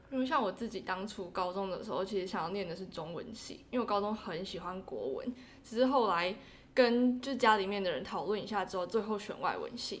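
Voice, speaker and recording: An ordinary speaking voice from a woman, medium in pitch, with ordinary pitch variation and a fairly quick pace. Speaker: interpreting graduate student. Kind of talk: casual interview.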